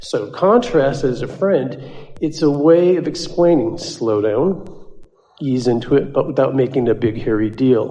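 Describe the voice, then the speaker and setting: A man with a normal speaking voice, at a fairly high pitch and a fairly slow pace, with lively intonation. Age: 60s. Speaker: workshop participant asking a question. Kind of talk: audience Q&A with a channeler.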